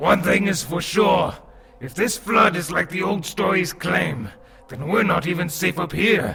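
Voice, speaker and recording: A man puts on a character voice with a fairly high pitch. He keeps a moderate pace. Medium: audio drama. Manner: measured, explanatory.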